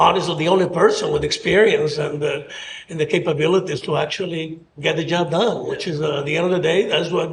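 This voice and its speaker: Someone with a Spanish accent talks at a very fast pace, with noticeable background noise and audible room echo. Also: man. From Mexico City, Mexico. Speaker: mayoral candidate. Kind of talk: interview. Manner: halting.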